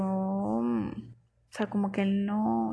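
This is a woman's voice. There is some breathiness to it. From Venezuela, Barquisimeto. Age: 20s. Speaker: podcaster. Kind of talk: casual monologue storytelling. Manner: animated.

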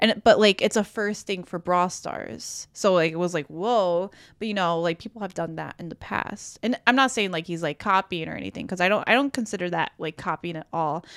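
A woman's fairly quick delivery with hardly any pauses, big swings in loudness, and a dry, close sound with no echo. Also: medium pitch for a woman, ordinary pitch variation, very clean recording, silent background. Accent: Chicago. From US Midwest, Chicago. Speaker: gaming content creator. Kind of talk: casual chat. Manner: giggly, uses many fillers.

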